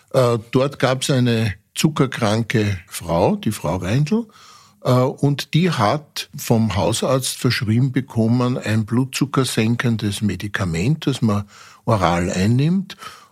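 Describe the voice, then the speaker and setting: A man at medium pitch, somewhat breathy, with lively intonation and a very slow pace, on a very clean recording with a silent background. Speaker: forensic pathologist. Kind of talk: interview.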